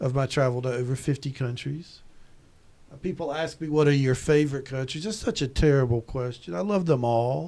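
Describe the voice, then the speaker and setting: In a Southern US accent, a man speaks at a medium pitch with a dark, mellow tone on a very clean recording with a silent background. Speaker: tourism professor. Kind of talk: podcast interview. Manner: halting, frequent repetitions.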